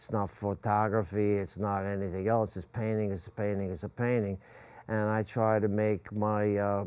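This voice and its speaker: Speaking at a moderate pace, a man with a fairly low pitch keeps a monotone, flat intonation on a very clean recording with a silent background. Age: 70s. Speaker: painter. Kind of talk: TV interview. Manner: halting.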